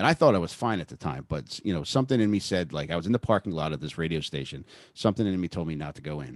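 A man's very deep, low voice with vocal fry and lively intonation at a very fast pace, in a dry, close sound with no echo and a quiet background. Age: 40s. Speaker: podcast guest sharing drug and recovery story. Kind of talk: casual interview chat.

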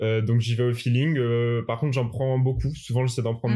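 This man's voice has a dark, mellow tone at a medium pitch. His intonation is monotone and flat. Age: 20s. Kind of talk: interview. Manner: hesitant, many fillers.

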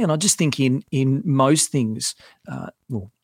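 A man speaks with an Australian accent and ordinary pitch variation. The sound is dry and close, with no echo. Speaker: financial adviser and author. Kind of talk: casual interview chat. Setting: podcast studio in a home garage.

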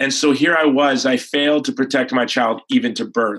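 Fairly high in pitch, a man with an American accent talks with fairly even intonation in an ordinary speaking voice. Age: 40s. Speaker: pro-life activist and film producer. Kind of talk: interview.

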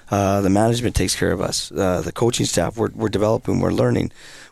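Very fast talk in a Canadian accent, with vocal fry and lively intonation, on a very clean recording with a silent background. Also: man. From British Columbia, Canada. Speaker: hockey coach. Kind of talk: casual interview.

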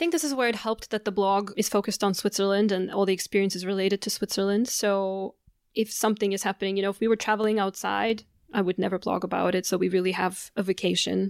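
Very fast speech with fairly even intonation and very even loudness, dry, close sound with no echo, on a very clean recording with a silent background. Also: woman, medium pitch for a woman. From Canada. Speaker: blogger and communications consultant. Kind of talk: interview. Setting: host's apartment.

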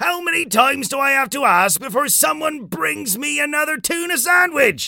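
A man bellows in a put-on character voice at an extremely high pitch. His pace is moderate. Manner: bellowing.

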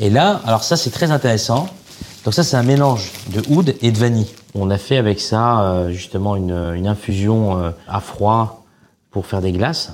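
Lively in intonation, a man with an unremarkable speaking voice and a fairly low pitch talks at a moderate pace. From Algeria, Oran. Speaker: chef. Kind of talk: casual chat.

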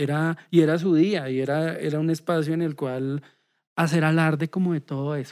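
A man's fairly high voice at a moderate pace, with monotone, flat intonation. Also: very clean recording, silent background. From Bogotá, Colombia. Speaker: social work lecturer and musician. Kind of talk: interview conversation. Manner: halting, many repetitions.

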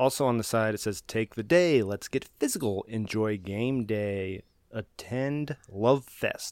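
A man with an ordinary speaking voice speaks at a fairly slow pace with hardly any pauses, his medium pitch showing ordinary variation in a very clean recording with a silent background. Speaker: podcast host. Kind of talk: casual chat.

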